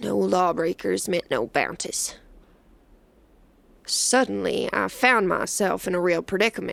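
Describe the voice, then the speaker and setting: A woman drawls in a put-on character voice at a moderate pace. She leaves long, frequent pauses. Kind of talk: western first-person narration. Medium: audio drama. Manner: drawling, folksy frontier idiom.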